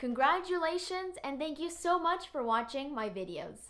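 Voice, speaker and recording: This woman speaks with lively intonation. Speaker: English teacher. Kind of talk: tutorial. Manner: slow, clear teaching pace.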